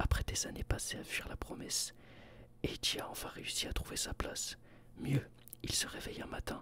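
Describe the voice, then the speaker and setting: Whispering at a fairly quick pace comes through noticeable background noise. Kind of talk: reading a book synopsis. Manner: whispered.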